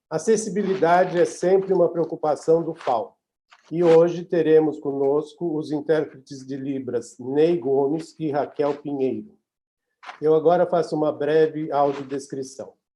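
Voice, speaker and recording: The tone is dark and mellow, and the pace is fairly slow. Intonation stays fairly even. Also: man, fairly high pitch for a man. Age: 60s. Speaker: webinar moderator, opera festival artistic director. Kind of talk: webinar moderation. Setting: video call from home office.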